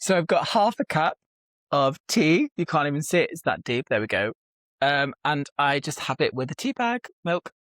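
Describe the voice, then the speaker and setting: The speaker has a British accent. The intonation is lively and the pace moderate. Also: man. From UK. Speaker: aspiring novelist. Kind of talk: casual chat. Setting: video call.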